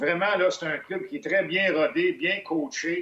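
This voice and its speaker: A man is speaking. His intonation is lively. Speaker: hockey analyst. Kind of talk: casual chat.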